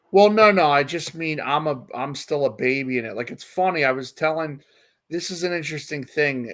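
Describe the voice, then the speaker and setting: In an ordinary speaking voice, a man talks at a fairly quick pace with a fairly high pitch and ordinary pitch variation. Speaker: satirist and writer. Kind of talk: casual chat.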